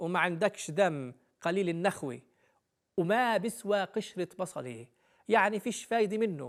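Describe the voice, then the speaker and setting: A man with a Palestinian accent speaks at a high pitch and a fairly slow pace. His intonation is lively, on a very clean recording with a silent background. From Palestine. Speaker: storyteller. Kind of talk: explaining Palestinian sayings.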